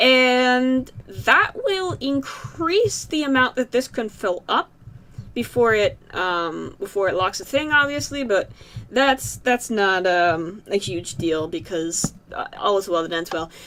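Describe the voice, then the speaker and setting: Speaking with an American accent, a woman uses a fairly high pitch and a bright, sharp tone. She talks at a very slow pace with very wide pitch swings. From Massachusetts, US. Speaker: gaming YouTuber. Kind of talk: let's play commentary. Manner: hesitant, many fillers and repeats.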